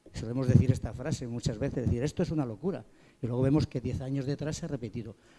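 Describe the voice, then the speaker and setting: A man speaks at a very fast pace with a medium pitch. His tone is dark and mellow, and his pitch varies in an ordinary way. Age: 60s. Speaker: pastry chef. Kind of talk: panel discussion.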